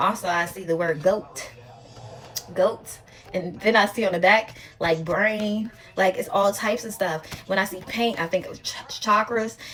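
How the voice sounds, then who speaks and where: With long, frequent pauses and big swings in loudness, a woman speaks at a moderate pace and medium pitch against noticeable background noise. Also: ordinary pitch variation. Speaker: tarot reader. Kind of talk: tarot reading monologue. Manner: casual, halting.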